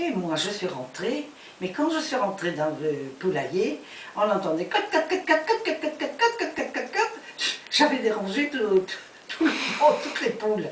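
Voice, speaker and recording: A woman with a fairly high voice speaks at a moderate pace, her pitch swinging very widely. Background noise is noticeable. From France. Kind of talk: storytelling, personal memories. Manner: hesitant, searching for words.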